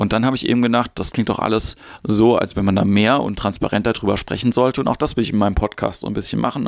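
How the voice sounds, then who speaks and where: The sound is dry and close, with no echo. A man talks at a medium pitch with fairly even intonation. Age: 40s. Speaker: podcast host, improv actor and comedian. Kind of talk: solo podcast monologue on mindfulness. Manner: casual, with filler sounds.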